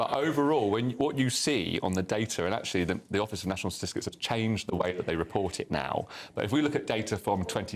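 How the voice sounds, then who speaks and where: A man speaks in an unremarkable speaking voice. His pitch is fairly low, with ordinary pitch variation. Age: 40s. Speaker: solicitor. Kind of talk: heated debate.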